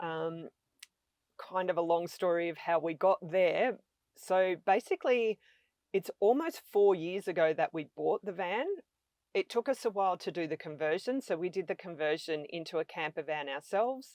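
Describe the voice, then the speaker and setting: With an Australian accent, a woman talks at a moderate pace and fairly low pitch, the sound dry and close with no echo on a very clean recording with a silent background. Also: ordinary pitch variation. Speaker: van-life traveler. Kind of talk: podcast interview.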